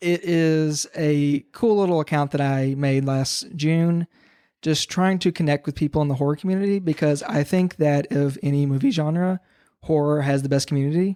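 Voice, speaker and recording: Over a very clean recording with a silent background, the speaker talks at a moderate pace with a Kentucky accent. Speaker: podcast guest, horror TikToker. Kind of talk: casual chat.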